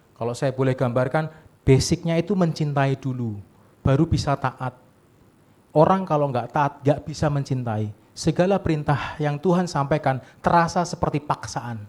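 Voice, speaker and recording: Somewhat breathy and animated, a man speaks at a moderate pace in a fairly high pitch with ordinary pitch variation. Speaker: pastor. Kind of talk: sermon. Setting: church service with congregation. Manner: animated, conversational with audience.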